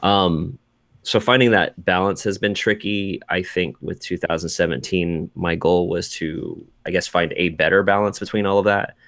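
The speaker has an American accent and an unremarkable speaking voice. The pace is moderate and the intonation fairly even. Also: man, fairly low pitch for a man, quiet background. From US Pacific Northwest (Seattle area). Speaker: video game journalist. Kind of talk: casual chat.

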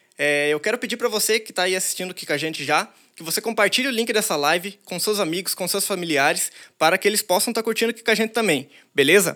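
On a very clean recording with a silent background, a man with a high, bright, sharp voice speaks very fast in a raised, projected voice. His loudness swings widely while his pitch varies in an ordinary way. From interior of São Paulo state, Brazil. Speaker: DJ. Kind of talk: live stream intro and outro. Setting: studio, live stream.

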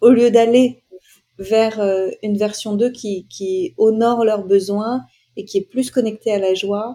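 A woman speaks at a very slow pace with a fairly high pitch and fairly even intonation. Her tone is dark and mellow. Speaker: podcast host and life coach. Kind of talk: casual interview chat.

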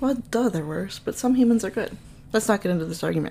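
A woman speaks with a Minnesotan accent. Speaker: podcast host. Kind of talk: casual storytelling.

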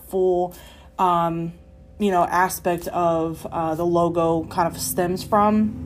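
Her voice sits at a medium pitch. This woman talks at a very slow pace. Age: 20s. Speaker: podcast host. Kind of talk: casual monologue. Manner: hesitant, many filler words.

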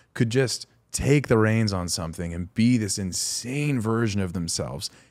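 The recording is very clean and the background is silent. An unremarkable speaking voice holds a moderate pace and shows ordinary pitch variation. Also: man. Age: 20s. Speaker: podcast co-host. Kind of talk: casual chat. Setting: studio.

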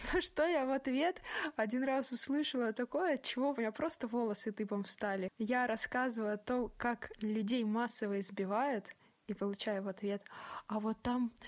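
Delivered in an ordinary speaking voice, the speech moves at a fairly slow pace with lively intonation and very even loudness. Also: woman. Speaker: podcast host. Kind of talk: casual chat. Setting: remote call.

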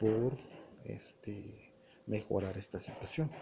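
In an unremarkable speaking voice, a man talks with ordinary pitch variation. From Mexico, Puebla (Tehuacán area). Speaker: solo news podcaster. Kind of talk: solo news commentary.

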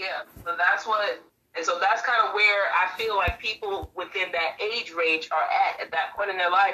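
An unremarkable speaking voice with an American accent, moving at a moderate pace. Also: woman. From Brooklyn, New York. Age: 30s. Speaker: motivational YouTuber. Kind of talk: casual interview.

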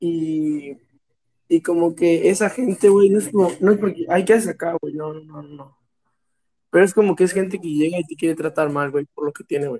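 With a Mexican accent, a man speaks at a moderate pace in a high-pitched, dark, mellow tone, his pitch varying ordinarily and his loudness swinging widely, in a dry, close sound with no echo. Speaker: podcast co-host. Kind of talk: casual chat. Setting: same room as co-host.

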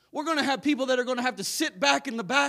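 A man's raised, projected voice, animated in tone and lively in intonation. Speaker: preacher. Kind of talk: sermon. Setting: church. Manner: animated, excitable, loud, fervent preaching with amens.

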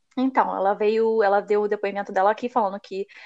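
Against a quiet background, a woman with a plain, everyday voice speaks at a fairly high pitch and a fairly quick pace. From Brazil. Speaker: podcast host, immigrant college student. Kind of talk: casual chat.

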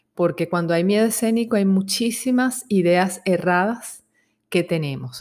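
At a fairly slow pace, a woman talks in a normal speaking voice of medium pitch with ordinary pitch variation. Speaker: psychologist. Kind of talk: self-help talk.

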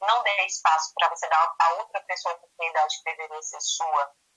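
The speaker talks at a moderate pace. It is a normal speaking voice. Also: woman. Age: 30s. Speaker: entrepreneur. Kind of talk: casual interview.

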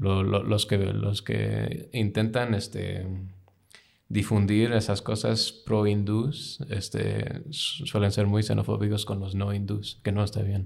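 A man speaks very slowly with a fairly low pitch. His intonation stays fairly even. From United States, with childhood in UK. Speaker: graduate student, former diplomat. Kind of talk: casual interview. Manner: halting.

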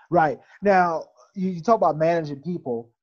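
With ordinary pitch variation, a man speaks fairly slowly. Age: 40s. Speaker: podcast host. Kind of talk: interview conversation. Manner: hesitant, many fillers.

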